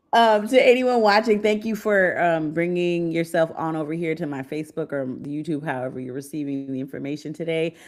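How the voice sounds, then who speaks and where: An ordinary speaking voice from a woman with an American accent, fairly low in pitch, moving at a fairly quick pace with hardly any pauses. Her intonation is lively, her loudness swings widely, and the recording is very clean with a silent background. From United States. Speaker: podcast host and trip planner. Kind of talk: casual chat. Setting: live stream.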